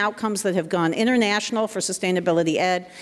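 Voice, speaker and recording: The woman talks at a very fast pace. Her pitch varies in an ordinary way. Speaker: community college professor. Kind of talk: conference panel talk. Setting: stage with audience. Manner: animated.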